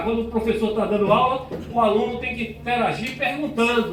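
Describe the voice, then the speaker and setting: Amid noticeable background noise and audible room echo, a man speaks with an extremely high pitch. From Bahia, Brazil. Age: 60s. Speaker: pastor. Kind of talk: talk to school students. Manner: animated.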